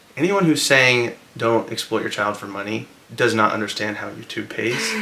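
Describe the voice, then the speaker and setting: The loudness swings widely, and background noise is noticeable throughout. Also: man, medium pitch for a man, ordinary pitch variation, moderate pace. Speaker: family vlogger. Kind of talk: casual chat.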